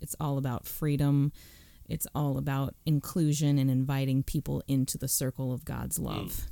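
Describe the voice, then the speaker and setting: A woman with an American accent speaks at a very deep, low pitch in a dark, mellow tone with monotone, flat intonation. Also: moderate pace. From US suburbs. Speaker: host's wife, women's ministry worker. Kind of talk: casual conversation.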